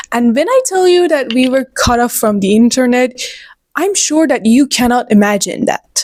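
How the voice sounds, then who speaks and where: With a Persian accent, a woman speaks at a high pitch with lively intonation. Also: moderate pace. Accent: Persian (Iranian) accent in English. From Iran. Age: 20s. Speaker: book vlogger. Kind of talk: casual chat. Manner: animated; halting.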